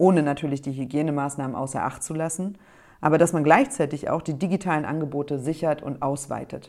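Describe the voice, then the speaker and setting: A woman speaks with a very deep, low pitch and a dark, mellow tone. The recording is very clean, with a silent background. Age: 30s. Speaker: politician. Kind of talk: prepared statement. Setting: self-recorded audio file.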